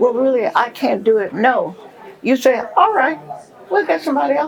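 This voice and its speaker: A woman with a high voice speaks at a moderate pace, her pitch swinging very widely over crowd noise in the background. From Tennessee. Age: 80s+. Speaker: retired sorority elder. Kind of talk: interview.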